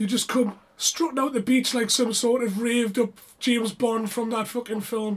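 A British accent at a moderate pace with hardly any pauses, over noticeable background noise. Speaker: rave podcast co-host. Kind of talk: casual chat.

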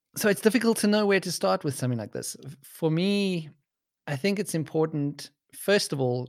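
A man with a South African accent speaks at a moderate pace with lively intonation. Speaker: podcaster. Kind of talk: casual chat.

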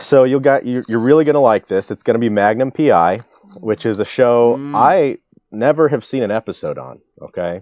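An ordinary speaking voice: a man with an American accent, at medium pitch with ordinary pitch variation and a moderate pace, recorded with dry, close sound with no echo and a quiet background. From US Midwest. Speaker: podcast co-host. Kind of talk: casual chat.

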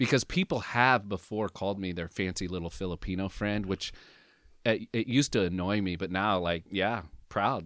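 A man with an American accent talks in an unremarkable speaking voice, fairly low-pitched with ordinary pitch variation, at a moderate pace on a very clean recording with a silent background. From US West Coast, Southern Oregon. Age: 50s. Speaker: pastor. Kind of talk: casual interview, personal testimony. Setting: studio, sitting across from host.

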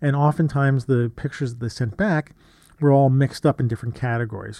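His pitch is medium. The man's tone is dark and mellow. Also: quiet background. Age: 50s. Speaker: photography podcast host. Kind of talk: casual solo podcast monologue. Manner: halting, many fillers.

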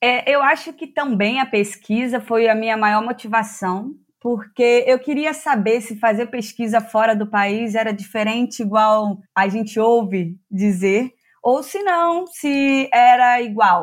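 In a very clean recording with a silent background, a woman with a fairly high pitch speaks at a very slow pace with hardly any pauses. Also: ordinary pitch variation. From Rio de Janeiro state, Teresópolis. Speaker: PhD student in agronomy. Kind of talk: interview.

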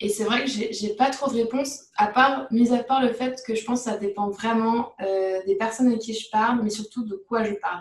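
Here is a woman with an unremarkable speaking voice, pitched fairly high. She keeps a moderate pace, hardly pauses, and holds a fairly even intonation. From France, Paris region. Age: 20s. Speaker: neuroscience graduate student. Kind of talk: interview.

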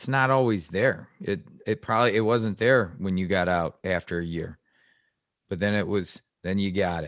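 With an American accent, this is an unremarkable speaking voice at a moderate pace, recorded very cleanly against a silent background. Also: man, fairly low pitch for a man, ordinary pitch variation. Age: 40s. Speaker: podcast host. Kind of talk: casual interview.

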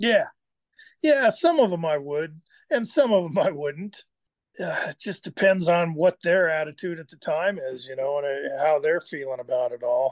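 A man with an American accent speaks at a moderate pace in a high pitch, with lively intonation and big swings in loudness. The sound is dry and close, with no echo and a quiet background. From Southern California, Burbank. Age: 60s. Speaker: blacksmith and artist. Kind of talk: casual interview. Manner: halting, many fillers.

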